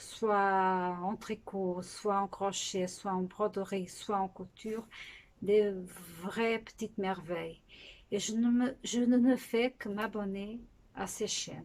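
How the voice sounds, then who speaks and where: A woman speaks at a very slow pace. Her medium-pitched voice holds a fairly even intonation. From Portugal. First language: Portuguese (speaking French). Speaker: knitting podcaster. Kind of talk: casual podcast chat. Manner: halting, with hesitations.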